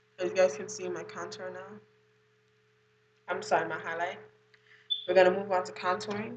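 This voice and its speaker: A woman at a fairly quick pace with long, frequent pauses, big swings in loudness, audible room echo and noticeable background noise. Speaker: beauty vlogger. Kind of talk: makeup tutorial. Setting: at home. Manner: casual.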